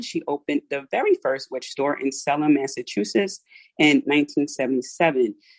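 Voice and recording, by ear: The speaker has a South Philadelphia accent. The pace is moderate. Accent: South Philadelphian.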